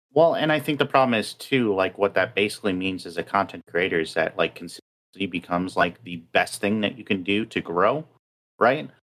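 Using a plain, everyday voice, a man talks at a moderate pace with a fairly low pitch and lively intonation. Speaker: podcast co-host. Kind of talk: casual chat.

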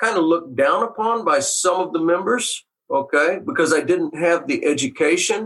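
A man's high-pitched voice sounds bright and sharp, with lively intonation. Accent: American. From Texas, Waco. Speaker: retired carpenter. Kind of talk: interview storytelling.

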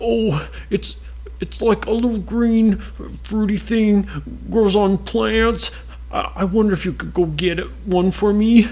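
At a fairly slow pace, a man does a put-on character voice pitched high. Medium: read story. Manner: sweet, whiny.

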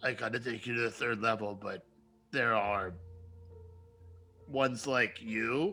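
Over faint music in the background, a man uses a raspy put-on character voice at a medium pitch, moving at a moderate pace with ordinary pitch variation and long, frequent pauses. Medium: actual play. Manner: weary, grudging.

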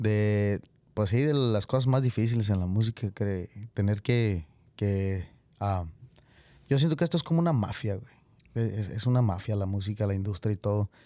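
In a Mexican accent, a man with a dark, mellow tone speaks at a fairly low pitch and a moderate pace, with ordinary pitch variation and long, frequent pauses, on a very clean recording with a silent background. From Mexico. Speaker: singer-songwriter. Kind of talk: casual chat. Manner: casual, slangy.

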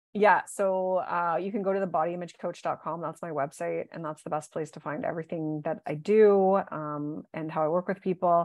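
Speaking at a moderate pace, a woman uses an ordinary speaking voice, fairly low in pitch with fairly even intonation. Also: big swings in loudness. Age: 40s. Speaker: body image coach. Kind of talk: casual interview.

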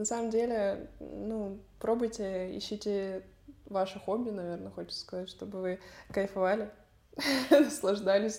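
Using fairly even intonation, a woman of medium pitch with a dark, mellow tone speaks at a fairly slow pace, with big swings in loudness and long, frequent pauses. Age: 20s. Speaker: tennis coach and academy founder. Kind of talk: interview.

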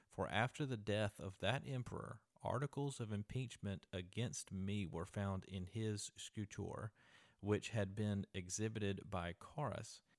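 The man's voice is an unremarkable speaking voice, fairly low in pitch with ordinary pitch variation, at a fairly slow pace, the sound dry and close with no echo. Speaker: podcast host. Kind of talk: storytelling, reading a translated ancient letter aloud as a ghost story. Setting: traveling in Athens, Greece, recording a podcast. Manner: conversational, earnest, casually narrating.

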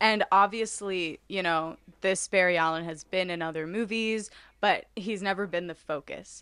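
A woman's medium-pitched voice, a plain, everyday voice, with fairly even intonation, a moderate pace and a quiet background. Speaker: podcast co-host. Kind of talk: casual chat. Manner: laughs often, chatty.

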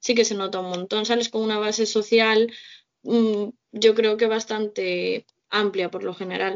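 The speaker talks at a fairly slow pace in a flat, monotone intonation. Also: woman, fairly high pitch for a woman. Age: 20s. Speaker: social integration worker. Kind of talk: casual chat.

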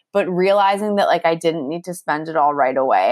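A woman with an ordinary speaking voice and lively intonation at a fairly quick pace, in a very clean recording with a silent background. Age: 30s. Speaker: author and journalist. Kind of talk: interview. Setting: call. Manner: casual, filler-heavy.

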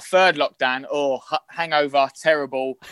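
A man's fairly high, bright, sharp voice with a London accent in a dry, close sound with no echo. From London, Islington. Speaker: actor. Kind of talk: casual chat. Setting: video call. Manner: fast; animated.

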